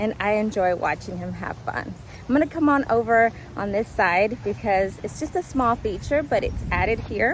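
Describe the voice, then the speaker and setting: A woman's fairly high voice with lively intonation, set against noticeable background noise. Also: moderate pace. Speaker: gardening vlogger. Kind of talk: casual walkthrough tour. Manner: loud.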